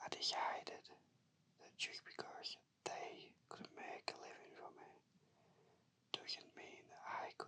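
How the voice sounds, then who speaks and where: Whispering at a very slow pace, a man leaves long, frequent pauses and his loudness swings widely. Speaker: shiatsu therapist. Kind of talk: whispered ASMR personal story. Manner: whispered, soft-spoken.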